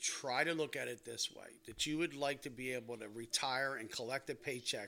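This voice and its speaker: In an American accent, a man speaks at a medium pitch and moderate pace with a bright, sharp tone and fairly even intonation. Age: 60s. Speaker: retired firefighter. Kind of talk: casual chat. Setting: home dining room.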